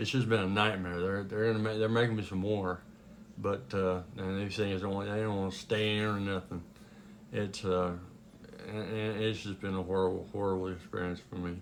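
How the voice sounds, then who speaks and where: Audible room echo surrounds a man speaking at a moderate pace. His fairly low voice stays monotone and flat. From US West, Sheridan, Wyoming. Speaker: Elvis tribute artist. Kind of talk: casual talk to camera. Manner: halting, many fillers.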